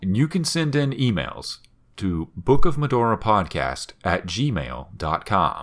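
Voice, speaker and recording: The man speaks fairly slowly at a medium pitch with vocal fry and very wide pitch swings. The recording is very clean with a silent background. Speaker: podcast host. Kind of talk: casual podcast chat. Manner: struggles with cadence, rhythm of speech.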